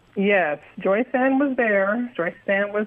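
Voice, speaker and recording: At a fairly slow pace, a woman with an American accent uses an ordinary speaking voice with ordinary pitch variation. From St. Louis, Missouri, US Midwest. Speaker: genealogy researcher. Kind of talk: interview.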